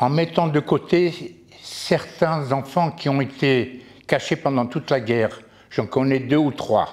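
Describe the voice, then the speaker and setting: Very slowly and at very even loudness, a man talks at a fairly high pitch with ordinary pitch variation. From Poland. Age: 80s+. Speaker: Holocaust survivor. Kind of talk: testimony. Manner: halting.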